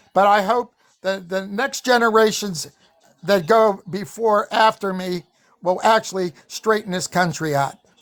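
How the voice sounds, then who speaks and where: This man talks fairly slowly in a high pitch. His pitch varies in an ordinary way. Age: 70s. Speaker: political podcast panelist. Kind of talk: panel debate.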